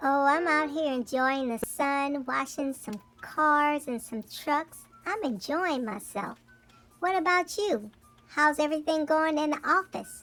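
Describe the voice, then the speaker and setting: The speaker uses a put-on character voice with a high pitch. The pace is fairly slow, with music in the background. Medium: comedy sketch. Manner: friendly, easygoing.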